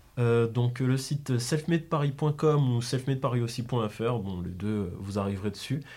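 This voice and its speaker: At a fairly slow pace with hardly any pauses, a man speaks in a somewhat breathy voice at a medium pitch. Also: ordinary pitch variation. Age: 20s. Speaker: graphic designer and clothing brand co-founder. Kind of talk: interview.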